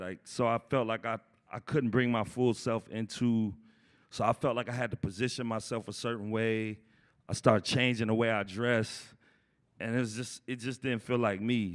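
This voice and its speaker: The speaker has an American accent and keeps a moderate pace. It is a very clean recording with a silent background. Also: man. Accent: noticeable accent, by others. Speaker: graduate student. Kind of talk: panel discussion. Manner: casual.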